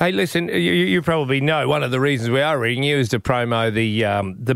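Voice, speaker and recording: A man's medium-pitched voice with an Australian accent at a very fast pace. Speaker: radio host. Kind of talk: casual radio banter.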